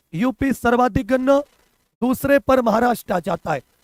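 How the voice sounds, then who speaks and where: An extremely high-pitched man talks in an animated tone, the sound dry and close with no echo. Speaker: online exam coaching teacher. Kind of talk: live online class. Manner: repetitive, animated.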